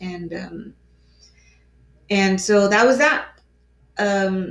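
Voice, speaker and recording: At a very slow pace, a woman talks at a medium pitch with ordinary pitch variation. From Mexico (Mexico City). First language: Spanish. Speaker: advocate for crime victims. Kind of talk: casual conversation. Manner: halting, many fillers.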